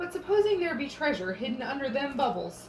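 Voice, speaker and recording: With clear background noise behind her, a woman uses a put-on character voice, high in pitch and at a fairly quick pace. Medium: read story.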